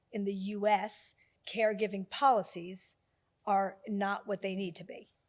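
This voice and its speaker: At a fairly slow pace, a woman speaks in a flat monotone at a medium pitch, her loudness swinging widely. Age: 60s. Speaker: business executive. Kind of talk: interview. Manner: emphatic.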